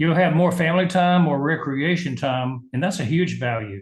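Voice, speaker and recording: A man speaks in a fairly high pitch for a man with a somewhat breathy quality and a Southern US accent. His pace is moderate and his pitch varies in an ordinary way. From US South, Georgia. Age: 70s. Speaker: medical doctor and business leader. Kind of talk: interview.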